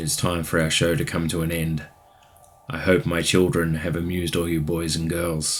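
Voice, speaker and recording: A man's put-on character voice, raspy and very deep, with monotone, flat intonation at a moderate pace. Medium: read story. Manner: theatrical showman.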